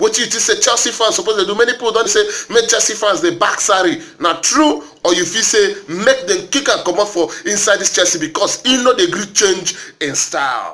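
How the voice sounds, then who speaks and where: Raising and projecting his high voice, a man talks fairly quickly with lively intonation amid noticeable background noise. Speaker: football commentator. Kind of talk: casual talk to camera.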